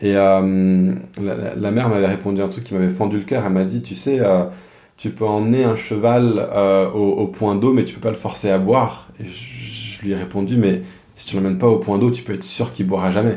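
A man at a fairly low pitch, with lively intonation and a moderate pace, over noticeable background noise. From France. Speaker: pastor. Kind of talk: casual interview conversation. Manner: halting, frequent repeated words.

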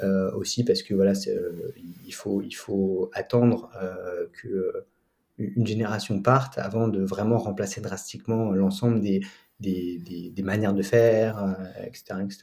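This man talks very slowly in a fairly low, dark, mellow voice. His intonation stays fairly even. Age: 20s. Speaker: student and prep school founder. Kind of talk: interview. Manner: hesitant, many fillers and repetitions.

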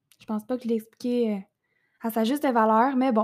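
In a Quebec accent, a woman with a high pitch speaks at a moderate pace in a monotone, flat intonation, captured in a very clean recording with a silent background. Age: 20s. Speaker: podcast host and entrepreneur. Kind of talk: casual monologue.

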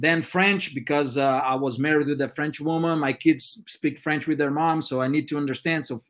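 Fairly high-pitched man's voice with a Brazilian accent. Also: ordinary pitch variation, moderate pace, fairly bright tone.

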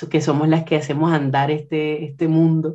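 A woman's very deep, low voice, dark and mellow in tone, over a quiet background. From Colombia, Caribbean coast (Puerto Colombia, near Barranquilla). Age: 20s. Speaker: musician and singer. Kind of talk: radio interview.

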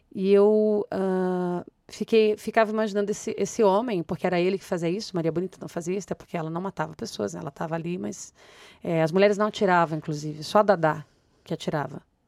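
At a very fast pace, a woman of medium pitch speaks with ordinary pitch variation in a dry, close sound with no echo, on a very clean recording with a silent background. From Rio de Janeiro, Brazil. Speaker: playwright. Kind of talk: interview.

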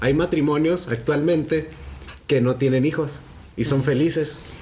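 There is audible room echo and noticeable background noise as a man with a fairly high pitch speaks at a moderate pace. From Chihuahua, northern Mexico. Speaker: law graduate, podcast panelist. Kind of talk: casual chat.

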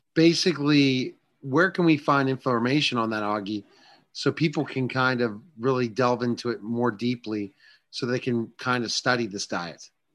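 The man has an ordinary speaking voice at medium pitch, with ordinary pitch variation. He talks at a moderate pace against a quiet background. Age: 40s. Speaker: radio host. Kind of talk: interview.

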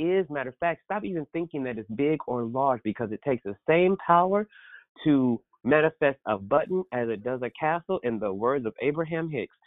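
At a moderate pace, a man speaks with lively intonation. His voice sits fairly high. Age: 30s. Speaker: podcast host. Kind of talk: interview. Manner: animated.

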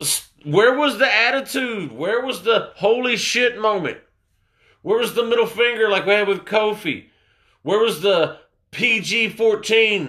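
In a raised, projected voice with a bright, sharp tone, a man speaks at a fairly slow pace and a high pitch, with ordinary pitch variation. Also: quiet background. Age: 20s. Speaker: wrestling podcast host. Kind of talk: casual solo review.

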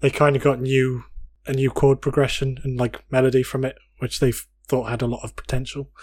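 Here a man is speaking. His pitch sits in the medium range. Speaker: podcast co-host.

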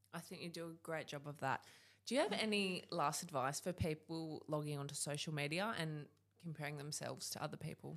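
Speaking at a fairly quick pace with an Australian accent, a woman uses a very deep, low pitch and ordinary pitch variation. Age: 20s. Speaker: podcast host. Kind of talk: interview. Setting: studio.

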